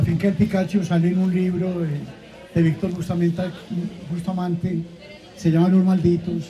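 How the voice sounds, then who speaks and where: A man with a high pitch talks at a moderate pace amid noticeable background noise and audible room echo. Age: 70s. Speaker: bookseller. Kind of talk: live interview. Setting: stage with audience at book festival.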